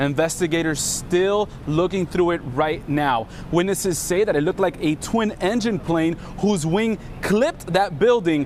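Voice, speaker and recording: A man with a high pitch talks at a moderate pace, his pitch varying in an ordinary way, while noticeable background noise sits behind him. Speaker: TV news reporter. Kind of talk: TV news live report.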